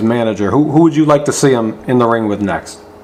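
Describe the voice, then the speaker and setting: A man talks in a medium register, his pitch shifting in an ordinary way, with noticeable background noise behind him. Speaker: boxing interviewer, channel host. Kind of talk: interview questions.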